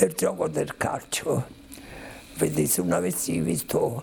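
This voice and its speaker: A man with a Roman accent and a very deep, low pitch speaks at a very slow pace. Noticeable background noise runs beneath him. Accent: Roman Italian. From Rome, Italy. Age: 80s+. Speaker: Holocaust survivor. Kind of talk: testimony.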